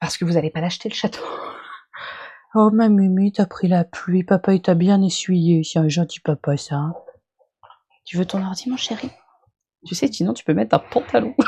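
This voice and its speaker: A woman's medium-pitched, somewhat breathy voice at a moderate pace, with lively intonation, big swings in loudness, and long, frequent pauses, in a dry, close sound with no echo. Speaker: streamer reacting to own video. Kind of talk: live stream reaction chat.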